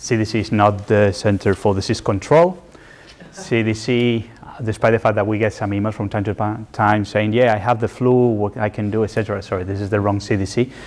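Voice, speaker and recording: Over noticeable background noise, a man with a fairly low voice speaks at a fairly quick pace with fairly even intonation and a Spanish accent. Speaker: environmental and social risk specialist in development finance. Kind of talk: lecture.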